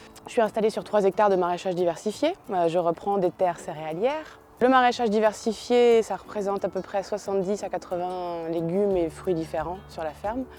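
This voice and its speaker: On a very clean recording with a silent background, a woman speaks fairly quickly with hardly any pauses, in a dark, mellow tone at a medium pitch with ordinary pitch variation. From Île-de-France, Yvelines (Rosny-sur-Seine). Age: 30s. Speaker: organic vegetable farmer. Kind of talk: interview testimony. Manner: hesitant, many fillers.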